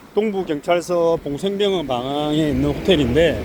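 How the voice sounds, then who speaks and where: A man with a high voice keeps a moderate pace and a lively intonation despite noticeable background noise. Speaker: YouTuber. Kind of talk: walking vlog commentary. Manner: casual, conversational.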